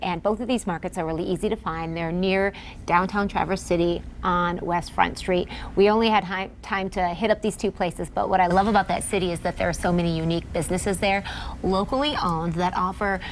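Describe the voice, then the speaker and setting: Over light background noise, a woman speaks at a fairly quick pace with fairly even intonation. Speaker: TV host. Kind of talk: casual studio chat. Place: studio. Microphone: lapel.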